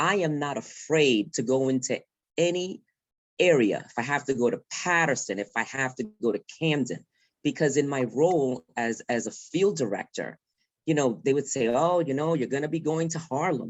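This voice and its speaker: An accent from New York comes through. The delivery is at a moderate pace. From New York, the Bronx. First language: Spanish. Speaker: field director. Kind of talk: panel discussion. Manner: halting, many fillers.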